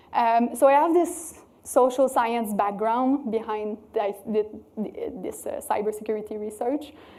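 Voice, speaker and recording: A woman with a French Canadian accent, fairly high in pitch, speaking at a fairly slow pace with ordinary pitch variation. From Quebec City, Canada. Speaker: cybersecurity researcher. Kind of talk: conference talk. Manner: hesitant, many fillers.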